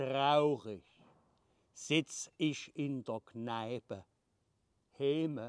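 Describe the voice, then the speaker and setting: A man is speaking against a quiet background. The sound is dry, with no echo. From Leipzig, Saxony. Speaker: comedian. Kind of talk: dialect poetry reading. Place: garden. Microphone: phone near.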